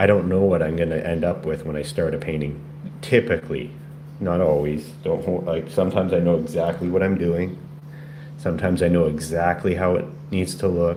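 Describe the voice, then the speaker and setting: With a very deep, low pitch, a man speaks at a fairly quick pace and ordinary pitch variation over noticeable background noise and audible room echo. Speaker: painter. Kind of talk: casual painting livestream talk. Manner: halting, repetitive stammers.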